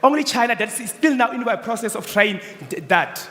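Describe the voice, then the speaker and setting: With noticeable background noise, a man with a non-native accent talks at a fairly quick pace and an extremely high pitch. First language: not English. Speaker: student business pitcher. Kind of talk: business pitch and Q&A.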